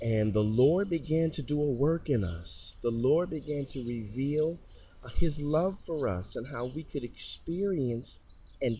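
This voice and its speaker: Against a quiet background, a man with an American accent speaks fairly slowly in a fairly high, somewhat breathy voice with a dark, mellow tone and lively intonation. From Detroit, Michigan. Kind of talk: religious podcast monologue. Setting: recording on location near a chapel.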